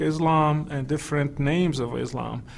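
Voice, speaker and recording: A man with a Moroccan accent talks at a moderate pace. His fairly high voice stays in a flat monotone. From Morocco. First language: Moroccan Arabic. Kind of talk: interview testimony. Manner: halting, many fillers.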